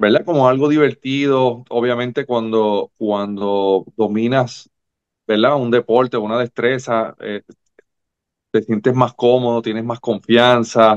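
Speaking very slowly with fairly even intonation, a man is heard over a quiet background. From Puerto Rico. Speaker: former volleyball player; guest. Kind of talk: interview. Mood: relaxed, reflective. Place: home room. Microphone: video call.

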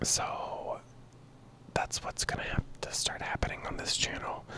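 A man is whispering. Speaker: channel creator. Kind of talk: casual vlog chat. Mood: frank, slightly frustrated. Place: home room. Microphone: handheld.

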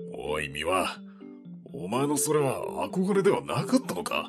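Over clear background music, a man with a fairly high pitch puts on a character voice. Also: moderate pace. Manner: stern, blunt, terse.

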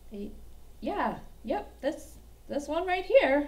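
This is a cartoonish character voice. It moves at a very slow pace. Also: woman, high pitch for a woman. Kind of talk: children's puppet show. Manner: eager, excitable.

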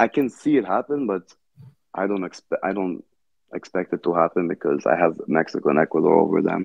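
Against a quiet background, a man with a very deep, low pitch talks at a fairly quick pace, the sound dry with no echo. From Brazil. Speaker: football fan guest. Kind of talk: casual chat. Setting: video call. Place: home room.

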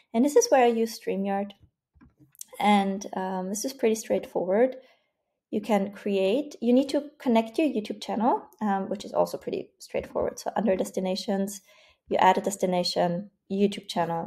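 Speech comes at a moderate pace in a dark, mellow, somewhat breathy tone with ordinary pitch variation. The background is quiet. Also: woman. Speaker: online community coach. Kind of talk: tutorial.

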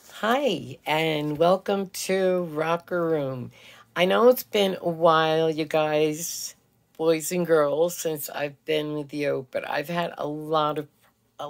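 A woman speaks very slowly in a very deep, low pitch with ordinary pitch variation. Her tone is gentle and warm, and the background is quiet. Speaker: radio DJ, voiceover actress, filmmaker and producer. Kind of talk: children's storytime host talking to camera. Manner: gentle, warm, slow, friendly. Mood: gentle, advising. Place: home room. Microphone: phone near.

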